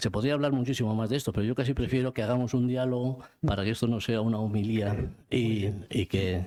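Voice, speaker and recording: Keeping a very even loudness, a man speaks at a fairly quick pace with a medium pitch. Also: fairly even intonation. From Spain, Vitoria (Basque Country). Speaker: book author. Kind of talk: book presentation talk. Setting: cultural centre event with audience. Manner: halting, many repetitions.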